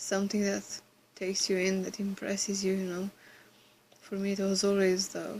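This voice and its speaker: Somewhat breathy whispering moves along at a moderate pace. Long, frequent pauses break it up. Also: woman. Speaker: vlogger. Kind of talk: casual Q&A vlog.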